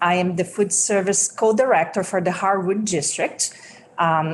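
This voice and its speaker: With a Brazilian Portuguese accent, a woman speaks at a fairly low pitch and a moderate pace. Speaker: school food service director. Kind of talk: legislative testimony. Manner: halting, many fillers.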